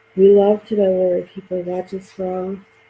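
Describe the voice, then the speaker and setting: A woman with a medium pitch speaks fairly slowly, clear background noise audible behind her. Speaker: craft video host. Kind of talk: craft tutorial. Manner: casual, chatty.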